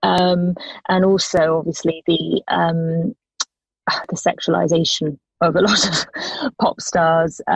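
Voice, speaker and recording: A woman's fairly low voice with a British accent, at a very slow pace with long, frequent pauses and fairly even intonation, in a dry, close sound with no echo. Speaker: singer-songwriter. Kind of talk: radio interview.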